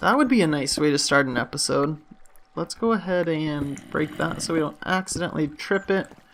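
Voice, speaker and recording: Noticeable background noise sits under a man speaking with a fairly high pitch. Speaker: gaming youtuber. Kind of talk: gameplay commentary. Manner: casual, hesitant with fillers.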